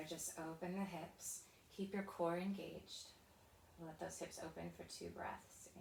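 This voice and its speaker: A woman's medium-pitched voice comes across calm and gentle, with monotone, flat intonation and audible room echo. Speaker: pilates and stretch instructor. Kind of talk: guided workout class. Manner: calm, gentle cueing; soft-spoken.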